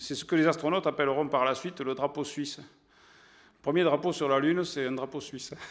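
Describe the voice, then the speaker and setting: A fairly quick, flat monotone with an Occitan accent, long, frequent pauses and a quiet background. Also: man, fairly high pitch for a man. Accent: southern French (Occitan). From southern France, Aude; southern France. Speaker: science journalist and magazine editor; science journalist lecturer. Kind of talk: lecture to an audience. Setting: stage with audience. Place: hall. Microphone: podium.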